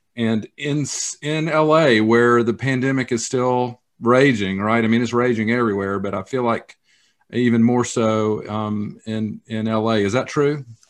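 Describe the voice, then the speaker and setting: Against a quiet background, the speaker talks at a fairly slow pace with fairly even intonation in a Southern US accent. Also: man, medium pitch for a man. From US South. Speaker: church foundation director. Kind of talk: interview.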